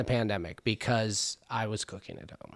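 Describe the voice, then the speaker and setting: In a Californian accent, a man speaks at a moderate pace. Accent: Californian American. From Los Angeles, San Fernando Valley (Van Nuys). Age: 30s. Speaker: chef and cannabis farmer. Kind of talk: casual interview chat. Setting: at his home in Topanga Canyon.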